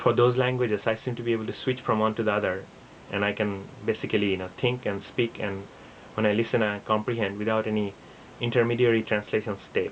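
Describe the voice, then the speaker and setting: Over noticeable background noise, a man with a fairly low voice talks at a fairly quick pace. His intonation is monotone and flat. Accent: Assam. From India (Assam, schooled in Bengal). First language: Assamese. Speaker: vlogger. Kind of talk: casual talk to camera. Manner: halting, with fillers.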